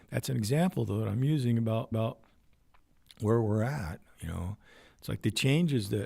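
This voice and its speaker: A man's medium-pitched, dark, mellow and somewhat breathy voice at a moderate pace, with lively intonation and long, frequent pauses. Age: 70s. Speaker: military veteran and channel host. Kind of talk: solo livestream monologue. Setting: home livestream on computer. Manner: halting.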